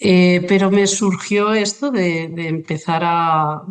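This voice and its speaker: A woman speaks with a Catalan accent. Her voice is fairly low, with fairly even intonation. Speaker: journalist, writer and illustrator. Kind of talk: interview conversation. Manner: halting, many fillers.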